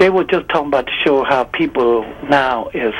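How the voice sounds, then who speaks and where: There is noticeable background noise behind a man with an American accent. His medium-pitched voice has lively intonation. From Chicago South Side. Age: 60s. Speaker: caller. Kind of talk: call-in comment. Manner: animated, casual.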